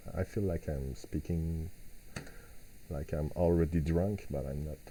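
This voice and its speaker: The speaker has a dark, mellow tone and a non-native accent, with light background noise. The pace is very slow, with long, frequent pauses. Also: man. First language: not English. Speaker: software developer; synth tutorial host. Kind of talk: live tutorial. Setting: live stream at home. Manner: halting, frequent repetitions and fillers. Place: home room.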